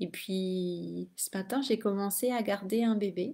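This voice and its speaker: A soft-spoken woman with a dark, mellow tone, very slow pace and ordinary pitch variation. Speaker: spiritual teacher and energy healer. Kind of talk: casual live video monologue. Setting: late-night live stream. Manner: hesitant, many fillers.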